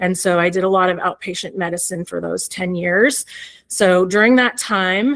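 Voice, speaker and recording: A woman speaking at a fairly slow pace. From Canada, Toronto. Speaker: physician. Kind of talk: presentation. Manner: halting.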